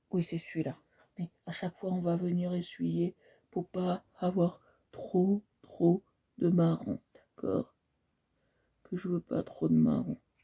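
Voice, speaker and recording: A soft-spoken voice at a very slow pace, with long, frequent pauses, big swings in loudness, and a dry, close sound with no echo. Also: woman. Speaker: art instructor livestreamer. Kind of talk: painting tutorial livestream. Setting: live stream.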